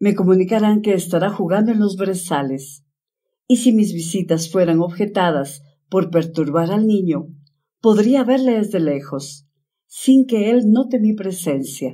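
Her voice has a dark, mellow tone and medium pitch, and the woman moves at a fairly slow pace with lively intonation. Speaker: audiobook narrator. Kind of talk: bedtime story reading, ASMR-style narration of a literary tale. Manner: slow, soft-spoken, calm and soothing pace.

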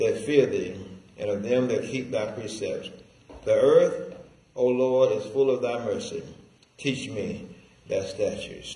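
A man at a fairly slow pace with long, frequent pauses, amid audible room echo. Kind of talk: scripture reading. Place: church.

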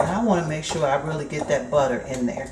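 A woman's voice against loud background noise. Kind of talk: tutorial. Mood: warm, nostalgic, laughing. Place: kitchen. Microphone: camera far.

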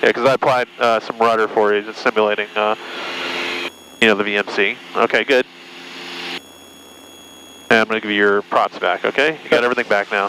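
Here is a man with an ordinary speaking voice, fairly low in pitch and fairly even in intonation, moving at a fairly quick pace. The sound is dry with no echo, over light background noise. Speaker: flight instructor. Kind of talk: instruction during flight. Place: plane. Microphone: headset.

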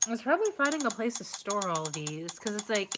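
Against noticeable background noise, a woman talks with lively intonation at a fairly high pitch. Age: 20s. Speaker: co-host building a kit. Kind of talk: live stream unboxing chat. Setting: live stream. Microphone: phone near.

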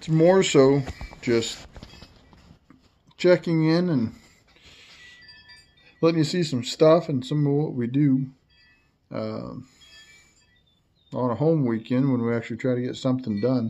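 A man speaks at a fairly slow pace with a medium pitch and a dark, mellow tone, his ordinary pitch variation broken by long, frequent pauses amid audible room echo.

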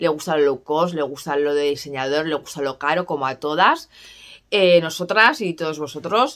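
Against a quiet background, a woman speaks at a moderate pace with a very deep, low pitch. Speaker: perfume vlogger. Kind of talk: casual vlog chat. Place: home room. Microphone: phone near.

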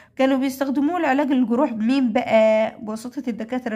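A woman with an Egyptian accent. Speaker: English teacher for primary pupils. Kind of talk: lesson tutorial. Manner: repetitive drilling of words.

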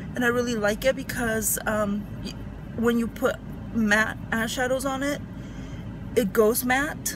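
A woman speaks fairly slowly with fairly even intonation. The sound is dry with no echo, though background noise is noticeable. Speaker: beauty vlogger. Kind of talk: tutorial. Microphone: phone near.

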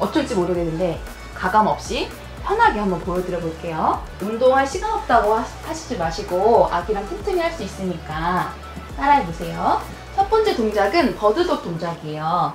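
With clear music in the background and audible room echo, a woman speaks at a moderate pace. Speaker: yoga instructor. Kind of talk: tutorial. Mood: warm, playful. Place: home room.

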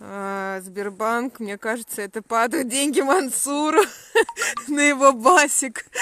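Her bright, sharp tone and lively intonation come through at a very slow pace as a woman speaks, the sound dry with no echo. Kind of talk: casual live-stream chat. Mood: warm, affectionate, amused. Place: open country. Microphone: phone near.

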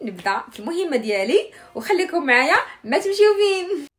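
The woman's voice rises and falls in very wide pitch swings. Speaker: home vlogger. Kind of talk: casual vlog chat. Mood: cheerful, laughing. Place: home room. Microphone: phone near.

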